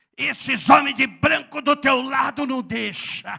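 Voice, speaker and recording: A man does a put-on character voice at an extremely high pitch. He talks at a fairly slow pace. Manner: menacing.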